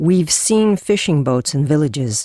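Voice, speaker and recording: At a middle pitch and a moderate pace, this is a put-on character voice. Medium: read story. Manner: thoughtful.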